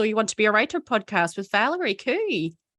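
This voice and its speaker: The tone is bright and sharp, with a dry, close sound and no echo. The pace is fairly quick. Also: woman. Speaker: podcast host and author. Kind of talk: interview.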